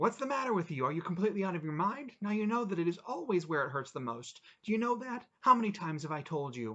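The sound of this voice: In a put-on character voice, a man speaks fast with a high pitch, a bright, sharp tone and big pitch swings.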